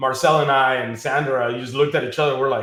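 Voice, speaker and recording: A man's fairly high-pitched voice at a fairly quick pace, with audible room echo. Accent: Spanish. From Mexico, Acapulco. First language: Spanish. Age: 30s. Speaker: financial services business leader. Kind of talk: interview.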